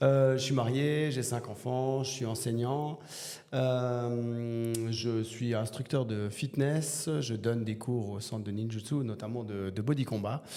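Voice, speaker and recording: A man speaks at a very slow pace and medium pitch with fairly even intonation. Audible room echo and noticeable background noise are present. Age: 40s. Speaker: teacher and bodybuilder. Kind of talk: podcast interview. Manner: hesitant, many fillers.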